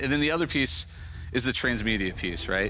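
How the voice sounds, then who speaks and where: With music in the background and audible room echo, a man speaks with an American accent. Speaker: video game entrepreneur. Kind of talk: business pitch.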